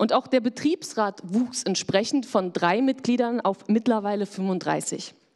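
A woman talks in a normal speaking voice at a fairly slow pace, fairly high in pitch with ordinary pitch variation. Her loudness stays very even, she takes hardly any pauses, and the background is quiet. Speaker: panel moderator. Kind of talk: moderated panel discussion. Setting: stage with audience. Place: hall. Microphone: handheld.

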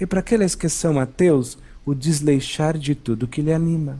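Calm in tone, a man with a dark, mellow voice speaks at a fairly slow pace. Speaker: spiritual teacher / channeled monk. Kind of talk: spiritual talk.

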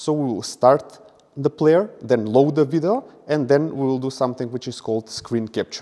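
Against a quiet background, a man with a fairly high pitch and a dark, mellow tone speaks at a moderate pace with ordinary pitch variation. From Macedonia. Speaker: software engineer conference speaker. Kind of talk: conference talk presentation. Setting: conference stage with audience. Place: hall.

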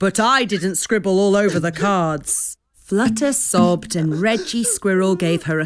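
With ordinary pitch variation, a natural reading voice comes through over quiet surroundings.

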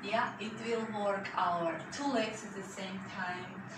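Noticeable background noise and audible room echo accompany a woman talking at a very slow pace. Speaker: fitness instructor. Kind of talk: workout class instruction. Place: home room. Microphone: camera far.

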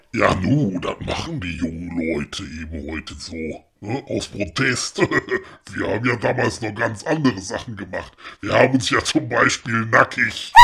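A gruff man's voice at medium pitch, with very wide pitch swings. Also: moderate pace. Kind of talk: comic radio play. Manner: gruff, grumbling, coarse.

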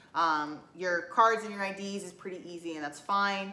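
A woman speaks with ordinary pitch variation, and audible room echo surrounds her voice. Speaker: collection vlogger. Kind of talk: casual vlog chat. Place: home room. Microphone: camera far.

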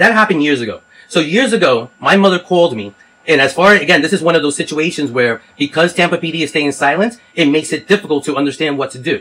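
A man's bright, sharp tone moves along at a fairly quick pace. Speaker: caller. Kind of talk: phone complaint explanation. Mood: frustrated, earnest.

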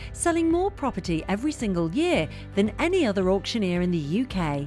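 A woman's voice with very wide pitch swings over music in the background. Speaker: narrator of a corporate promo video. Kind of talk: corporate narration, promotional voiceover.

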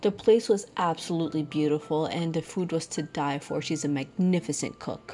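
On a very clean recording with a silent background, a woman with a very deep, low pitch and a dark, mellow tone talks at a moderate pace with ordinary pitch variation and hardly any pauses. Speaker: travel vlogger. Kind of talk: casual vlog narration.

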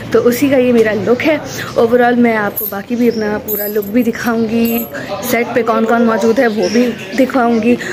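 A woman talks at a fairly high pitch in a flat, monotone way. Background noise is noticeable. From Saudi Arabia. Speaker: actress and voiceover artist. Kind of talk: casual vlog talk to camera. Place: garden. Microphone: phone near.

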